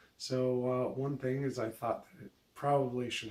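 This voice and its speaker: Noticeable background noise behind a man's medium-pitched, monotone, flat delivery at a moderate pace. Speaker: vlogger. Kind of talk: casual vlog monologue. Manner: hesitant, many fillers.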